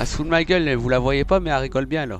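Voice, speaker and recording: Speaking in a northern French accent, a man moves at a fairly quick pace with ordinary pitch variation in a dry sound with no echo. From northern France. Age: 30s. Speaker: video game streamer. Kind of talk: casual gaming commentary. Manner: jokey, upbeat. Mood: joking, mildly frustrated. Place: home room. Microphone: headset.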